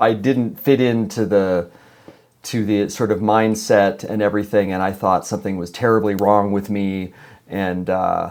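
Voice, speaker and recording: A man's fairly low voice in a Californian accent, at a moderate pace with fairly even intonation. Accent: General American (Californian). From Los Angeles, California. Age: 60s. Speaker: musician. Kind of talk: podcast interview. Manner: halting, many repetitions and fillers.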